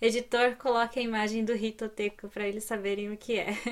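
In an animated tone, a woman speaks with a fairly high voice. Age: 30s. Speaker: finance YouTuber. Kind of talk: tutorial.

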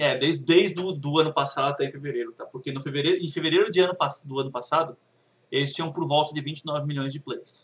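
A very fast, somewhat breathy man's voice, fairly high in pitch with fairly even intonation. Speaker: podcast co-host. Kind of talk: casual chat.

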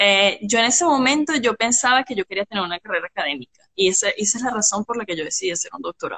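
Very fast and with hardly any pauses, a woman speaks in a fairly high, bright, sharp voice with lively intonation and a dry, close sound with no echo. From Venezuela. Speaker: pharmaceutical chemist. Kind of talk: casual interview. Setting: Instagram live video call.

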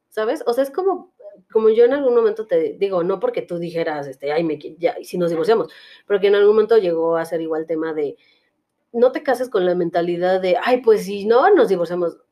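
A woman speaks fairly quickly at a medium pitch. Her intonation is lively and her tone dark and mellow. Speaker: podcast host. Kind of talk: casual chat. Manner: halting.

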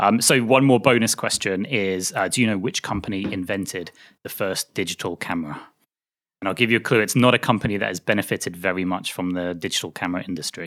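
In a very clean recording with a silent background, a man talks at a very fast pace. He has a British accent, a fairly low pitch and ordinary pitch variation. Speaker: podcast host. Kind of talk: interview conversation.

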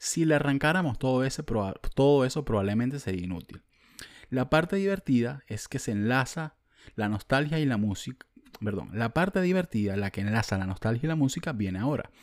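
Someone with a Venezuelan accent speaks at a fairly quick pace in an animated tone, with very wide pitch swings. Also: man, medium pitch for a man. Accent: Venezuelan, drops the s sounds. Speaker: podcast host. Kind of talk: casual monologue.

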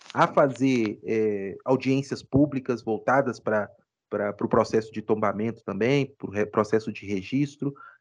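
A man speaks at a fairly slow pace with ordinary pitch variation. It is a plain, everyday voice against a quiet background. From Ouro Preto, Minas Gerais, Brazil. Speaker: law professor. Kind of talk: interview, explanatory.

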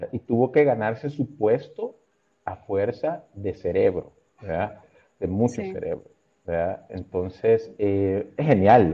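A man speaks with a dark, mellow tone and ordinary pitch variation. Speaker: creative agency director. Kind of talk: casual interview.

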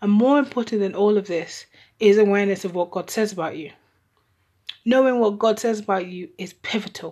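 A woman's medium-pitched voice, dark and mellow in tone, at a fairly quick pace, with ordinary pitch variation and big swings in loudness. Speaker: podcast host. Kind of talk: solo monologue podcast.

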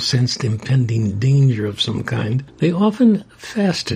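At a fairly slow pace, a man speaks in a medium pitch with very wide pitch swings. Background noise is noticeable. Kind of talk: religious discussion podcast. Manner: calm.

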